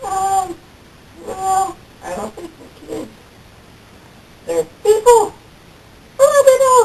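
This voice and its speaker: In a cartoonish character voice pitched extremely high, the speaker goes very slowly, with long, frequent pauses. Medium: puppet show.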